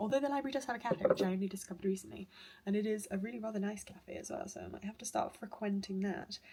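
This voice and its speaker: A woman talks at a very fast pace with a British accent. There is noticeable background noise. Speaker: university student vlogger. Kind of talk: casual vlog narration. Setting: outdoors walking; library. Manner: whispering in library.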